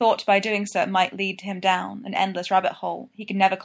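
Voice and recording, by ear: Someone reads the text aloud. The voice sounds natural.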